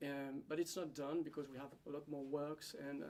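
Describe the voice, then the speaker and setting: Speaking in a French accent, a man with a fairly high voice and a dark, mellow tone keeps a monotone, flat intonation at a moderate pace. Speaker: winery hospitality manager. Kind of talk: conference presentation. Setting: seminar at a school. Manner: halting, with fillers.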